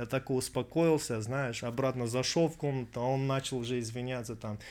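A man talks in a plain, everyday voice at medium pitch. His pace is moderate. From Russia, Krasnodar region. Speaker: actor. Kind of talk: casual chat.

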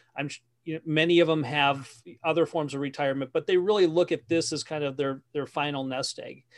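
In a normal speaking voice, a man with an American accent speaks at a fairly high pitch with fairly even intonation, the sound dry and close with no echo. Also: fairly quick pace. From Wisconsin. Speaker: business coach and author. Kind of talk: interview conversation.

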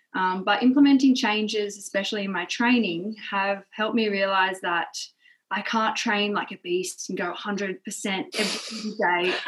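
A woman with an Australian accent, moderate pace and ordinary pitch variation. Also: medium pitch for a woman. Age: 20s. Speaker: primary school teacher. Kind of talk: casual interview chat.

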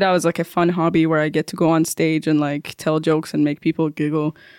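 A woman speaks in a Persian accent at a fairly low pitch. The recording is very clean, with a silent background. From Iran, Tehran. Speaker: stand-up comedian. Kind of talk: interview.

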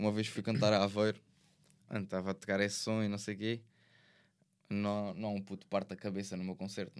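Despite long, frequent pauses, a man speaks at a very fast pace in a fairly low, monotone, flat voice on a very clean recording with a silent background. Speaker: rapper. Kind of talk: casual chat.

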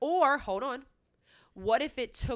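A woman speaks in a plain, everyday voice at a fairly slow pace with lively intonation. Her recording is very clean, with a silent background. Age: 20s. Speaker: podcast co-host. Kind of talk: casual chat.

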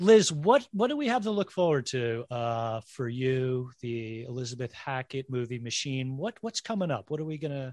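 In a dry, close recording with no echo, a man with an unremarkable speaking voice and medium pitch talks at a moderate pace with lively intonation and hardly any pauses. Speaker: podcast host. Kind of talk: casual chat. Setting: video call.

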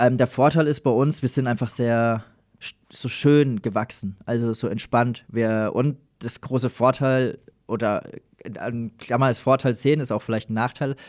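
In an unremarkable speaking voice of medium pitch, a man talks at a fairly slow pace with fairly even intonation on a very clean recording with a silent background. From Lower Franconia, Germany (Schweinfurt area). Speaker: breakdance performer and entertainment company manager. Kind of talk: casual interview. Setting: studio.

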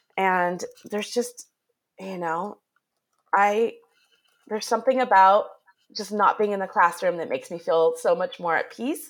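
A woman's medium-pitched voice at a moderate pace, with ordinary pitch variation and long, frequent pauses. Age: 40s. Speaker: podcast host, former teacher. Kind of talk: interview.

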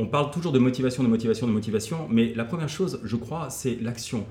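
Here a man talks at a fairly quick pace. His voice is somewhat breathy. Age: 40s. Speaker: motivational coach and former kung fu athlete. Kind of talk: casual interview.

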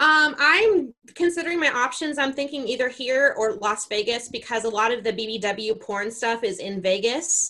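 With a General American accent, a woman speaks in a high, bright, sharp voice with lively intonation and hardly any pauses. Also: moderate pace. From Colorado. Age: 30s. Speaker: adult content creator. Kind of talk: casual chat. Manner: hesitant with many fillers.

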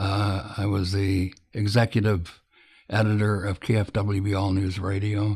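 Somewhat breathy and fairly low in pitch, a man with an American accent speaks at a fairly slow pace with monotone, flat intonation. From US Midwest, Illinois. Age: old. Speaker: news editor and publisher. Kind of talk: interview. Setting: recorded at his home. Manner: halting, with many fillers.

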